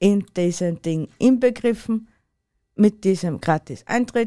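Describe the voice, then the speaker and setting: Speaking at a very slow pace, a woman with an Austrian accent has a medium pitch, ordinary pitch variation, and a dark, mellow tone. The sound is dry and close with no echo. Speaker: podcast co-host. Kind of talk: casual chat.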